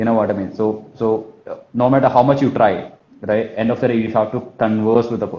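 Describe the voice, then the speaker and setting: Talking at a very fast pace, a man with a Kerala accent has a medium-pitched voice and a dark, mellow tone. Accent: Malayali. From Kerala, India. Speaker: sales trainer, business owner. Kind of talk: talk on telesales in live interview. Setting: live online session. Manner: fast, repetitive with verbal fillers.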